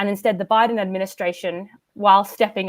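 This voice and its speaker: A woman with an Australian accent, medium pitch and fairly even intonation at a moderate pace, on a very clean recording with a silent background. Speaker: climate policy expert. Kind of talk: panel discussion.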